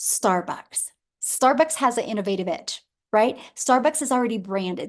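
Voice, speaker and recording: Over a quiet background, a woman with an ordinary speaking voice talks at fairly high pitch and a moderate pace with ordinary pitch variation. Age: 50s. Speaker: webinar presenter selling online income program. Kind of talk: sales pitch webinar. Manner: casual, conversational.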